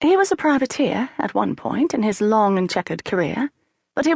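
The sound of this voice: An unforced reading voice with lively intonation over a quiet background.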